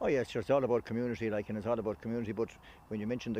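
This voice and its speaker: A man speaks with a western Irish accent at a medium pitch. His tone is dark and mellow. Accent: Irish (west of Ireland). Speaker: sports organisation official. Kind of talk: interview.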